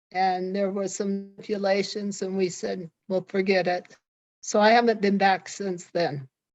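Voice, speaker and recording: With music in the background, a woman speaks fairly slowly at a medium pitch with fairly even intonation. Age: 80s+. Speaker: retired stadium organist. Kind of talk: casual interview.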